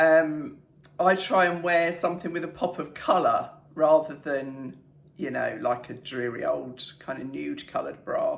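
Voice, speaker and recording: A woman speaks with a British accent. Her pace is fairly slow. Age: 60s. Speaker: fashion vlogger. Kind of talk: casual talk to camera. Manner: chatty, light-hearted.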